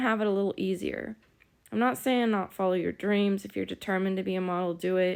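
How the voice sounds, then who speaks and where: A woman with a Southern US accent speaks at a medium pitch with fairly even intonation. The recording is very clean, with a silent background. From US South. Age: 30s. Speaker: vlogger, former aspiring model. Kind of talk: casual vlog monologue. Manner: casual, conversational.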